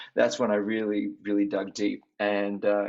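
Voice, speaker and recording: Here is a man with an Australian accent. His pitch is fairly low. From Australia, Sydney. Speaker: singer. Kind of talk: interview.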